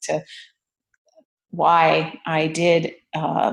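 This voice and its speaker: Vocal fry runs through this woman's voice. Her pitch sits fairly low. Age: 60s. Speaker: artist. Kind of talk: casual chat. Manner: halting, many fillers.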